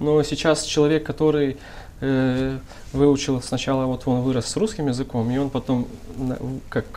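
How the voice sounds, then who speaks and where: Against noticeable background noise, a speaker with a Moldovan accent talks at a moderate pace with long, frequent pauses. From Gagauzia, Moldova. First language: Gagauz (speaking Russian). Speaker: rap artist, musician. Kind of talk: talk show discussion.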